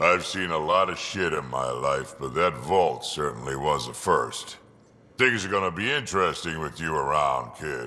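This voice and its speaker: Using a put-on character voice, a man speaks gruffly at a very deep, low pitch. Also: moderate pace. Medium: video game. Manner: blunt, gruff, profane.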